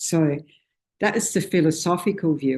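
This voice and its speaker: The speaker goes at a fairly slow pace with an Australian accent. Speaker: Buddhist teacher. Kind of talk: dharma talk. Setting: meditation centre with small audience. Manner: loud; informal, hesitant with fillers.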